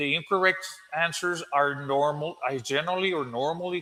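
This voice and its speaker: A man with a Spanish accent and a bright, sharp tone. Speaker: English teacher. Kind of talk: tutorial. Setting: live stream. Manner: halting.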